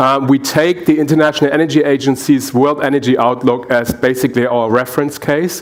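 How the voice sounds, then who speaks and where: Noticeable background noise behind a man with a German accent, fairly high pitch and ordinary pitch variation. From Germany. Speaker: energy researcher and engineer. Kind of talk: panel presentation. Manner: halting, many fillers.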